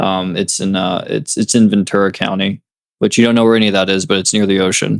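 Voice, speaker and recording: A man speaks with an American accent. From California. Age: 20s. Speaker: music producer and DJ, college student. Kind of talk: casual podcast chat. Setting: video call.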